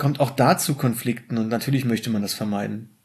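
Somewhat breathy, a man talks at a moderate pace. His pitch variation is ordinary. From Germany, rural village. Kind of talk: casual chat. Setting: home dining room.

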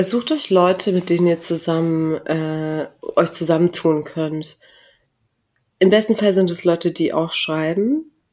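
A woman with an ordinary speaking voice speaks fairly slowly at a fairly low pitch, her intonation fairly even. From southern Germany, near Karlsruhe. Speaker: author and journalist. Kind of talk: interview. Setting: office room, in person.

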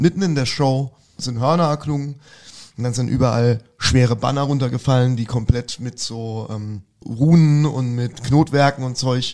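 A man speaks at a moderate pace in an unremarkable speaking voice. His pitch is medium and his intonation fairly even. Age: 40s. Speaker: rock singer. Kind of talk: casual interview chat.

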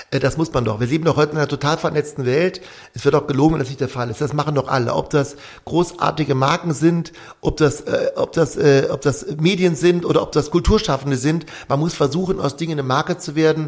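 The pitch of this man's voice is fairly high. He talks at a very fast pace. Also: fairly even intonation. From western Germany. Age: 50s. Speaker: theatre director and conductor. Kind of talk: interview.

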